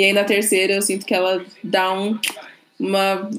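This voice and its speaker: The speaker is a woman. Her pitch is medium. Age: 20s. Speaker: podcast guest, R&B and TV series fan. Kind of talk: casual chat.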